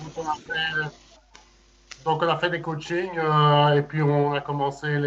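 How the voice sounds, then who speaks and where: Very slow and monotone with flat intonation, a man's fairly high voice carries through. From Belgium, Liège. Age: 40s. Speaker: amateur improv actor. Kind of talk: casual chat.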